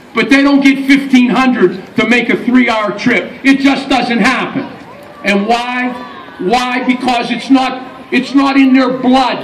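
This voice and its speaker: Amid audible room echo and noticeable background noise, a man with an American accent speaks at an extremely high pitch, fairly slowly, with fairly even intonation. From western Pennsylvania, New Castle. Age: 60s. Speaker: master of ceremonies and high school basketball coach. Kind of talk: pep rally speech. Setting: outdoors at a riverside pep rally.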